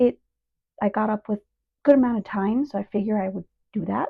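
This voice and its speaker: Soft-spoken, a woman talks at a fairly quick pace and a fairly high pitch. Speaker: beauty vlogger. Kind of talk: makeup tutorial. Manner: casual.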